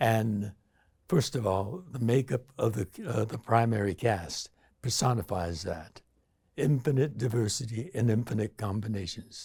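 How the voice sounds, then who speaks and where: Speaking fairly slowly with an American accent, a man has a dark, mellow, somewhat breathy tone in a very clean recording with a silent background. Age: 80s+. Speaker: actor and activist. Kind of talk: interview answer.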